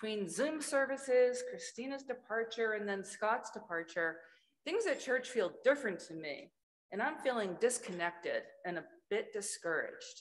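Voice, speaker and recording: A woman's high voice, with very wide pitch swings. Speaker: church member. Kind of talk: testimony. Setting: church. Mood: earnest, warm, encouraging. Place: church. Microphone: podium.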